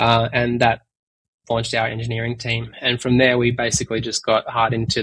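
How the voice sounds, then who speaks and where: With an Australian accent, a man talks fairly quickly at medium pitch in a monotone, flat delivery, the sound dry and close with no echo. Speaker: tech company executive. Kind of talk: interview. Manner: hesitant, many fillers.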